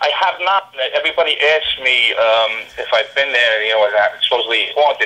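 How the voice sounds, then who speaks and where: A man talks at a fairly quick pace with a New York accent. Noticeable background noise sits behind him. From New York, Brooklyn. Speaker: TV show investigator. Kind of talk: casual chat. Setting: podcast interview.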